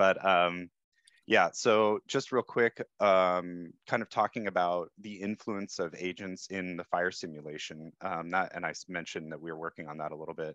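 A man with a very deep, low pitch and fairly even intonation at a moderate pace, big swings in loudness, a dry sound with no echo and a quiet background. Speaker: fire simulation software developer. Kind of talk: panel discussion. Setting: video call. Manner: unprepared, casual. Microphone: video call.

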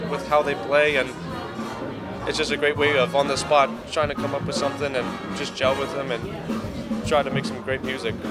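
Over clear background music, a man talks at a fairly quick pace with ordinary pitch variation. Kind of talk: interview answer. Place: bar. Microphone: handheld.

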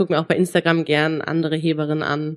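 A woman speaks with a fairly low pitch. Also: dry, close sound with no echo. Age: 20s. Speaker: powerlifter and sports student. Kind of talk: casual interview.

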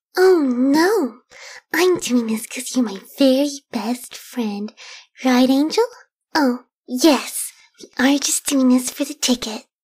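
The speaker uses a put-on character voice at a fairly slow pace. Long pauses come often. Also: female-sounding voice, high pitch for a woman. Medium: voice reel. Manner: soft-spoken, shy.

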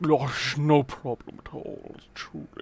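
In a put-on character voice, the speaker talks at a fairly slow pace with a low-to-middle pitch. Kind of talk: posh. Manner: exaggerated politeness.

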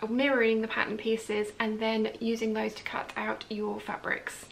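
There is light background noise behind a woman speaking at a high pitch. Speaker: sewing tutorial host. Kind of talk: tutorial. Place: home room.

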